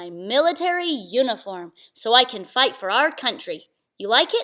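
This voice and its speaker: In a put-on character voice, a woman speaks at a high pitch and a moderate pace, with very wide pitch swings and big swings in loudness, on a very clean recording with a silent background. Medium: read story.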